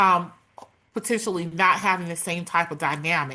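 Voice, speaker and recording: A loud woman at a moderate pace, bright and sharp in tone, against a quiet background. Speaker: workplace culture advocate and speaker. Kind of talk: interview.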